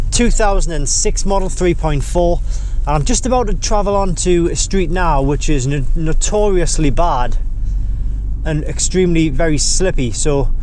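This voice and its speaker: The sound is dry with no echo, with light background noise. A man with a high pitch and ordinary pitch variation speaks at a fairly slow pace. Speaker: car vlogger. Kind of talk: casual vlog chat. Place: car. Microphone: camera far.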